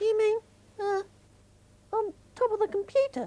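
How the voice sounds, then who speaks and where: Extremely high-pitched put-on character voice at a moderate pace. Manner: hesitant.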